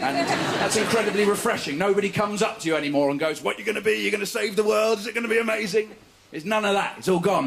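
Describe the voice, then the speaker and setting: Very fast, lively speech in an English accent, with noticeable background noise. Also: man. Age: 30s. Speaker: stand-up comedian. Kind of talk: stand-up. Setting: stage with audience.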